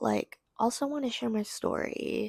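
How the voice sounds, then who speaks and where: A woman speaks with a dry, close sound that has no echo. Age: 20s. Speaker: video blogger. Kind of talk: casual video diary monologue. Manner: slow; slurring, mixing up words.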